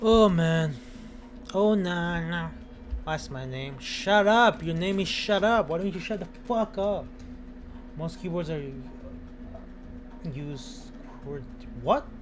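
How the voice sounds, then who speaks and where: With a non-native accent, a high-pitched man speaks very slowly, leaving long, frequent pauses. His intonation is lively, and the room echo is audible. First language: not English. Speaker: gaming streamer. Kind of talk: casual chat. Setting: home. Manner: animated.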